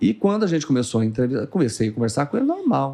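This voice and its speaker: Here a man speaks with a dark, mellow tone. His pitch is fairly high. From Brazil, Goiás (Morrinhos). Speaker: TV journalist and news anchor. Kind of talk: casual podcast interview, storytelling. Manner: animated.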